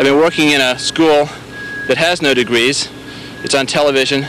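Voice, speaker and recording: At a moderate pace, a man speaks with monotone, flat intonation, the sound dry with no echo and light background noise behind it. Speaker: presenter. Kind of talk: presenter's intro. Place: open country. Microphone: handheld.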